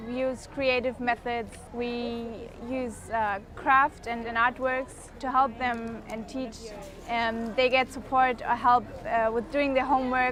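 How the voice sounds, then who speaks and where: A woman's high-pitched voice in a German accent, very slow and monotone with flat intonation, amid noticeable background noise. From Germany. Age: 20s. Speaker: volunteer. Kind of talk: documentary interview.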